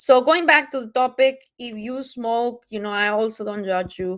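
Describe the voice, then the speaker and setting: Someone with a Mexican accent speaks at a moderate pace with ordinary pitch variation. The recording is very clean, with a silent background. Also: woman. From Mexico. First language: Spanish. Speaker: wellness product presenter. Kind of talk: live-stream sales presentation. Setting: livestream on multiple platforms. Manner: casual, many fillers.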